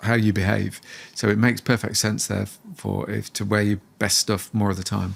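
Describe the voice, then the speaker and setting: On a very clean recording with a silent background, a man with vocal fry and fairly low pitch speaks at a moderate pace. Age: 60s. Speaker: positive psychology researcher and author. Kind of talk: podcast interview.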